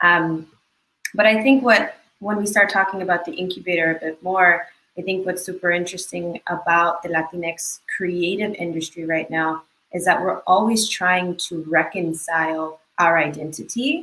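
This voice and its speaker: A woman with an American accent and a normal speaking voice talks with ordinary pitch variation. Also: fairly low pitch for a woman, moderate pace. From United States. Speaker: creative producer. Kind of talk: panel discussion. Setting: video call.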